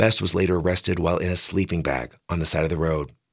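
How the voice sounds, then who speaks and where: At a fairly quick pace, a man speaks with a very deep, low pitch and vocal fry on a very clean recording with a silent background. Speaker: radio newscaster. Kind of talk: brisk, polished radio news reading, crisp and evenly paced. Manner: formal; measured, neutral and steady.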